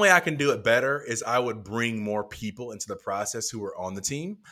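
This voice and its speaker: A man speaks at a medium pitch with a bright, sharp tone and lively intonation, at a moderate pace. The recording is very clean, with a silent background. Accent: American. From North Carolina. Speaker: pastor. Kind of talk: casual interview.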